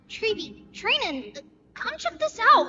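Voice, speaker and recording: Pitched extremely high, this put-on character voice swings very widely in pitch and moves at a fairly slow pace. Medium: video game. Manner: alert, urgent.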